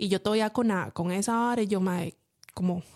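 A woman with a dark, mellow tone and medium pitch speaks in fairly even intonation. The recording is very clean with a silent background, dry and close with no echo. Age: 30s. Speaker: podcast co-host. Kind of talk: casual chat.

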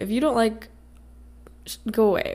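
A woman speaks in a raspy voice. The recording is very clean, with a silent background. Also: slightly mellow tone.

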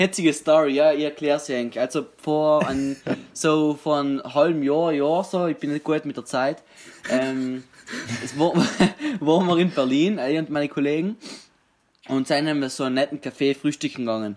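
Here is a plain, everyday voice moving at a moderate pace with ordinary pitch variation. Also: man, fairly high pitch for a man. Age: 20s. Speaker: fitness enthusiast and aspiring comedian. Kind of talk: casual chat. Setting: video call.

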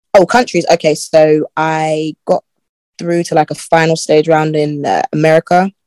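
The speaker has a South London accent, a moderate pace and fairly even intonation, and the sound is dry and close with no echo. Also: woman, very deep, low pitch for a woman. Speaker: guest who lived in UAE. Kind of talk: casual interview chat.

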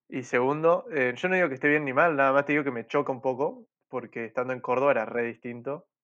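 A man at medium pitch, very fast, with hardly any pauses and fairly even intonation. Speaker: podcast host. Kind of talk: casual chat.

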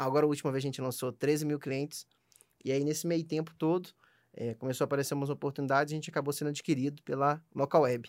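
Over a very clean recording with a silent background, a man with a fairly high pitch talks at a very fast pace in a monotone, flat intonation. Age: 20s. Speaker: startup founder. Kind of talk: casual interview.

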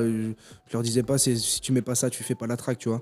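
The speaker is a man with a dark, mellow tone. He delivers his words at a fairly quick pace. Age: young. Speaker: beatmaker. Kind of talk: casual interview. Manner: hesitant, filler-heavy.

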